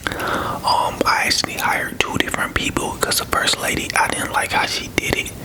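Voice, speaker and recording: Whispering from a man with an American accent, relaxed in tone at a moderate pace, amid noticeable background noise. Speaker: ASMR creator. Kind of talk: casual story time talk to camera. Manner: soft-spoken, whispery, relaxed.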